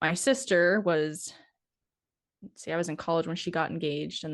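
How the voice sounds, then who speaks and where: In a northern US accent, a woman speaks with a very deep, low pitch against a quiet background. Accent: northern US accent, long O's. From North Dakota, US. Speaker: cattle producer and podcaster. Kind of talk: interview conversation.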